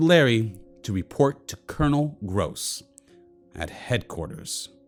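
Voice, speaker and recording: A man's medium-pitched voice with lively intonation over music in the background. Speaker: local history show host. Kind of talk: documentary narration.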